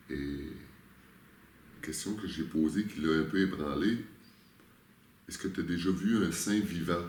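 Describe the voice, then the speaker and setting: With a Quebec accent, a man speaks at a very deep, low pitch, showing vocal fry and ordinary pitch variation. His pace is fairly slow, broken by long, frequent pauses. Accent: Québécois French. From Quebec, Canada. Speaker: spiritual guide. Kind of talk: interview answer.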